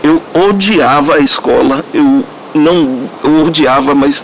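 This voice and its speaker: A man talks with a fairly high pitch and ordinary pitch variation. Noticeable background noise runs under his voice. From Brazilian Northeast. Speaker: interviewee in documentary. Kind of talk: testimony.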